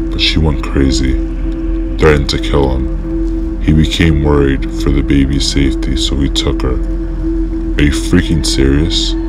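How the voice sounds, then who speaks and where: Over music in the background, a man with a very deep, low pitch speaks at a fairly slow pace with ordinary pitch variation. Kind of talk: reading text-message horror story aloud.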